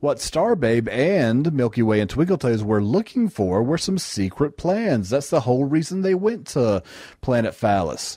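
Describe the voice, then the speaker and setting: Very clean and silent in the background, the recording holds a man at a medium pitch with a dark, mellow tone. He moves at a moderate pace with very wide pitch swings and very even loudness. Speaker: podcast host reviewing bad movies. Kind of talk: casual comedic movie review chat.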